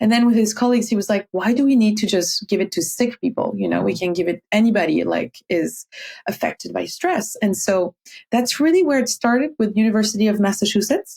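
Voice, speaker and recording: A woman's fairly high, somewhat breathy voice with a dark, mellow tone and a French accent, at a fairly quick pace, with ordinary pitch variation and very even loudness. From France. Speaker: meditation teacher. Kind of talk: interview conversation. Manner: halting, with fillers; animated.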